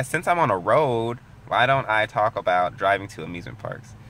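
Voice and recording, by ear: At a moderate pace, a man talks with ordinary pitch variation and a fairly bright tone.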